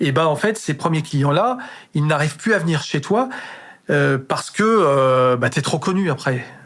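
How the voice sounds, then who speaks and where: A man's fairly high voice, fairly slow, with lively intonation and very even loudness. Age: 60s. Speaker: chef. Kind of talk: casual interview chat. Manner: halting, many repetitions and hesitations.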